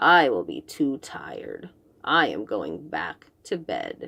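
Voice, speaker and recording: Growling in a put-on character voice, a woman speaks at a fairly slow pace. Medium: read story. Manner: slow, drowsy.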